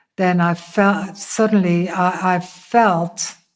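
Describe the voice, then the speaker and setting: A woman with a Dutch accent and fairly even intonation. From Netherlands. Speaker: interviewee sharing faith testimony. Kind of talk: testimony. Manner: hesitant, many fillers.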